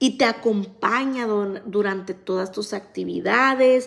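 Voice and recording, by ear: With ordinary variation in pitch, the passage is read aloud in a natural voice.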